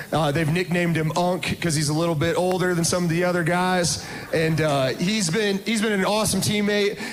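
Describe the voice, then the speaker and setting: Over music in the background with audible room echo, a man speaks at a high pitch and a fairly quick pace, with very even loudness, fairly even intonation and hardly any pauses. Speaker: college basketball coach. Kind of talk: speech to crowd over PA.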